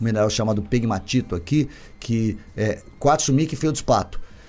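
With music in the background, a man speaks at a moderate pace and a medium pitch. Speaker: innovation hub CEO, engineer. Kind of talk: casual interview chat.

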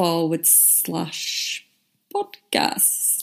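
This woman has a fairly low pitch and speaks with a northern English accent. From northern England. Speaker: podcast host, marketing consultant. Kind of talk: solo podcast monologue, casual explainer.

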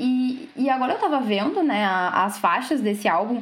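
A woman is speaking with audible room echo. Noticeable background noise is present too. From southern Brazil, Rio Grande. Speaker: radio co-host, journalism student. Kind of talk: casual chat.

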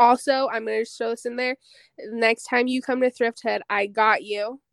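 With an American accent, a woman speaks at a moderate pace and fairly high pitch with fairly even intonation, in a very clean recording with a silent background and a dry, close sound with no echo. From Utah, Pleasant Grove. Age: 20s. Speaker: vintage clothing store owner. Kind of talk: casual interview.

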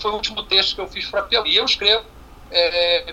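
Background noise is clearly audible as a man talks. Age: 50s. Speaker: sports columnist and marketing specialist. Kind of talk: casual interview chat.

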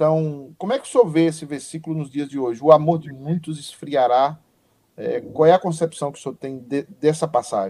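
Here is a man with a dark, mellow tone. His pitch is fairly high and his pace is moderate. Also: ordinary pitch variation, big swings in loudness. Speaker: pastor and online show host. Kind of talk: casual chat. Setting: video call. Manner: animated.

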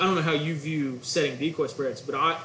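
Against noticeable background noise and audible room echo, a man with an American accent speaks at a fairly high pitch with fairly even intonation. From Oklahoma, Guthrie. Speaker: duck hunting outfitter and caller. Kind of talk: casual chat.

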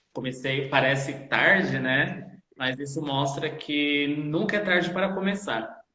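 In a room with audible echo, a man talks at a fairly high pitch with ordinary pitch variation. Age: 20s. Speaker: dance teacher and choreographer. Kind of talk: live-streamed interview.

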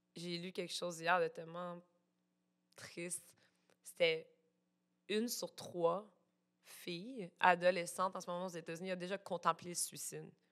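A woman with a Quebec accent speaks at a fairly low pitch and fairly slow pace, her monotone, flat intonation paired with big swings in loudness and long, frequent pauses. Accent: Québécois French. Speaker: illustrator and plush designer. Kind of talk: casual chat.

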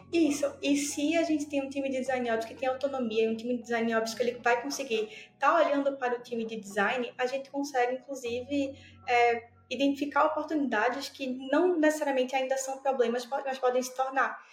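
Fairly quick and fairly even in intonation, a woman speaks at a high pitch. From Brazil, Pernambuco. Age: 20s. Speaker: design operations specialist. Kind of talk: interview.

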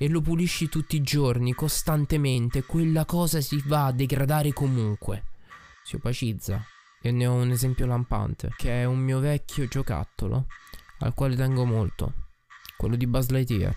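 Medium-pitched male voice at a moderate pace, with ordinary pitch variation and very even loudness, over music in the background. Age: 20s. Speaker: podcaster and streamer. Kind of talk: personal monologue. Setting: recording alone at night at his desk. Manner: reflective.

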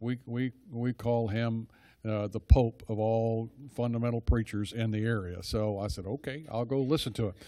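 Moderately paced, a man speaks at medium pitch with fairly even intonation. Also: very clean recording, silent background. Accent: Texan. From Texas (Dallas). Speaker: church small-group leader. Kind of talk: church talk to a group. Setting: church gathering with audience. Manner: rambling, digressive.

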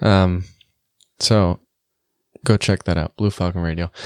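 A man is heard with a dry, close sound with no echo on a very clean recording with a silent background. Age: 20s. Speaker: podcast host. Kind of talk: casual chat. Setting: studio.

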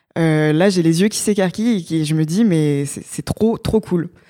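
Here a woman with a plain, everyday voice speaks at a moderate pace, her fairly low pitch held in fairly even intonation. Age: 20s. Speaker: startup co-founder and digital decarbonisation researcher. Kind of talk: podcast interview.

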